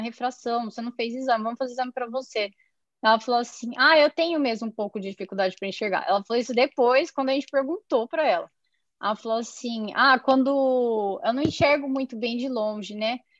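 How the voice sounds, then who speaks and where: Her high voice moving at a fairly quick pace with ordinary pitch variation, a woman is heard in a dry, close sound with no echo. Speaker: ophthalmologist. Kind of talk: storytelling in interview.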